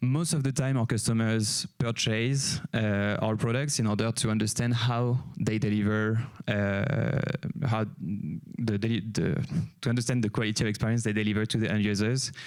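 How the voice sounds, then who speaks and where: With a French accent, a man speaks at a moderate pace and medium pitch using fairly even intonation. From France. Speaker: company CEO, conference speaker. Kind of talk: conference talk. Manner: hesitant, many fillers.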